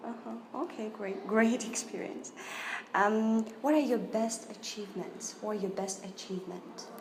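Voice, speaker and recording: A woman speaks with a fairly high pitch and ordinary pitch variation. Noticeable background noise runs under her voice. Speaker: English teacher. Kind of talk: interviewer in role-played job interview.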